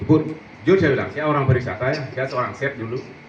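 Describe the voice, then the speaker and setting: Noticeable background noise and audible room echo surround the voice. A man speaks at a medium pitch. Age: 60s. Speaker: farmer, former hotel chef. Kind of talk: panel discussion.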